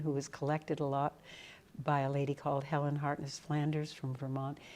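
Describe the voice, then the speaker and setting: A woman with a New England accent at a moderate pace. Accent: New England American. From New England, New Hampshire. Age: 80s+. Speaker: folk musician. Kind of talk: interview. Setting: in person at a music camp.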